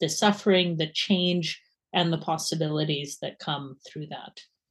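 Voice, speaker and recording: The speaker has a slight Canadian accent. The background is quiet. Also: woman. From Canada. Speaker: university lecturer in science and religion. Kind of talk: casual interview conversation. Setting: video call.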